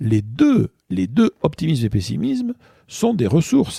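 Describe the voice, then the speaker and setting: A man's somewhat breathy, dark, mellow voice with lively intonation at a fairly slow pace, in a dry, close sound with no echo. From southwestern France, Bordeaux. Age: 60s. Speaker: author and public speaker. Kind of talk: interview conversation. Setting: in person. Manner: hesitant, many fillers.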